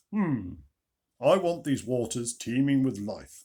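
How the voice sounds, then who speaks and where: In a booming, warm put-on character voice, a man of medium pitch speaks at a fairly slow pace. His intonation is lively. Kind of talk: bedtime story. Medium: read story. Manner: warm and pleased, like Father Christmas.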